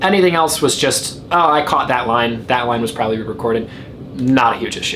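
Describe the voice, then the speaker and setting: A man's very rapid speech comes through noticeable background noise and an audible echo from the room. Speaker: film critic. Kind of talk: video review monologue. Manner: stuttering, halting in places; casual, conversational.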